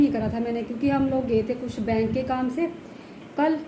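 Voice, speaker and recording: Here a woman talks at a high pitch with fairly even intonation. Audible room echo and noticeable background noise fill the recording. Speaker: village lifestyle vlogger, housewife. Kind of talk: casual vlog talk to camera. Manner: hesitant, with many fillers.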